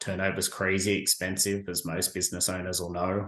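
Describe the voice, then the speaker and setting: Speaking in a flat, monotone way, a man with an Australian accent has a fairly low pitch. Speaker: staffing agency professional, military veteran. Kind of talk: interview answer.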